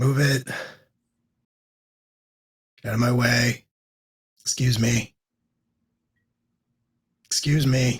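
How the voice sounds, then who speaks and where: In a put-on character voice, a man sounds robotic and raspy at a medium pitch, monotone with flat intonation, moving at a fairly slow pace with long, frequent pauses. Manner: bored, robotic.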